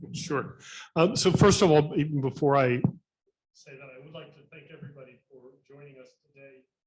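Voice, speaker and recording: A man speaks with an American accent in a fairly high pitch. His voice is somewhat breathy, with ordinary pitch variation. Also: fairly quick pace, big swings in loudness. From US South, North Carolina. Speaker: environmental institute director. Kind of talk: panel talk.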